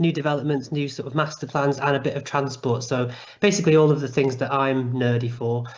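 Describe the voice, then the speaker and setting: A man with a Mancunian accent, fairly high in pitch with ordinary pitch variation. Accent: soft Mancunian. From Manchester, northern England. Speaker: YouTuber on urban planning. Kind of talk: online talk. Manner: animated.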